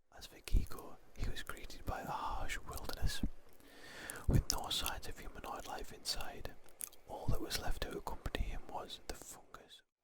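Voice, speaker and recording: A man whispering at a moderate pace, with big swings in loudness and noticeable background noise. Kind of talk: sleep story. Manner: whispered.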